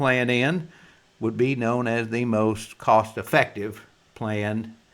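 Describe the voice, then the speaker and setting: Speaking at a very slow pace, a man holds a medium pitch in a very clean recording with a silent background. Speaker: insurance agent. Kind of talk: explainer presentation. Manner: casual folksy.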